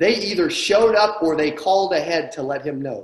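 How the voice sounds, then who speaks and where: A man speaks with lively intonation in a quiet background that carries audible room echo. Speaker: sales coach. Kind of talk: training talk to an online audience. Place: home room. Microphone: webcam.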